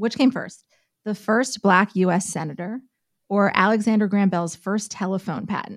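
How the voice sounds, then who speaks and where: An ordinary speaking voice from a woman, medium in pitch, with ordinary pitch variation. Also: moderate pace. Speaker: news host. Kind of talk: casual podcast chat.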